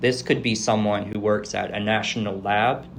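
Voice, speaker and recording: Speaking very slowly, a man uses a fairly low pitch with vocal fry. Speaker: astrophysics PhD candidate. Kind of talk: interview answer.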